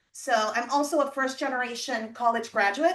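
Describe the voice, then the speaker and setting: In a Spanish accent, a woman talks at a fairly quick pace with a bright, sharp tone. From Puerto Rico (Mayagüez), Army brat raised partly in Europe and southern US. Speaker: education official and university lecturer. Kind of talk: presentation.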